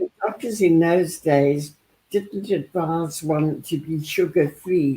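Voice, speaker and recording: Her voice is fairly low for a woman, dark and mellow, and somewhat breathy. She talks at a very slow pace with ordinary pitch variation. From South Africa. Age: 80s+. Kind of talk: interview answer.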